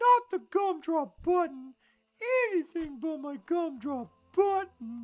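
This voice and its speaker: A put-on character voice sits at an extremely high pitch. The delivery moves at a fairly slow pace. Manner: comical, dramatic.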